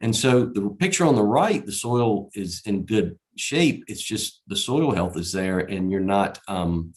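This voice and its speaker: A man with a Southern Virginia accent speaks at a fairly low pitch with lively intonation. His pace is fairly slow, with hardly any pauses. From Southside Virginia. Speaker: conference speaker, erosion control contractor. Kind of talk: conference presentation. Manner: many fillers and repetitions.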